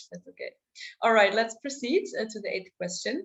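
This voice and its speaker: A woman with a fairly high pitch speaks with lively intonation and a somewhat breathy quality. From Germany. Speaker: volunteer presenter. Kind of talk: online presentation.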